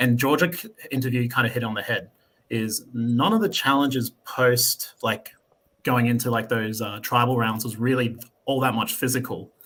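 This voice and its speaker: Speaking at a moderate pace with an Australian accent, a man keeps a medium pitch and fairly even intonation. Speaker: reality game contestant. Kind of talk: podcast interview.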